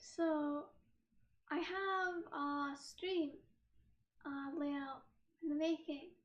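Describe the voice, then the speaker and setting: With audible room echo, a woman speaks at a high pitch and a very slow pace. Long, frequent pauses break her speech, which has ordinary pitch variation. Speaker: streamer. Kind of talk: casual chat. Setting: live stream with laptop camera.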